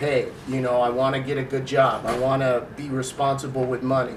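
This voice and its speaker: Fairly high in pitch, a man talks at a moderate pace in an American accent. Room echo is audible, and background noise is noticeable. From US West Coast (Long Beach, California). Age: 60s. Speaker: school staff member. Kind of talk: interview.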